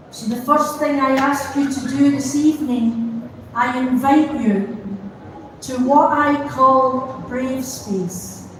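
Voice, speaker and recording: In a Scottish accent, a woman speaks at a very slow pace and a high pitch with fairly even intonation, with audible room echo and noticeable background noise. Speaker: pastor. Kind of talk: vigil address. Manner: gentle, calm.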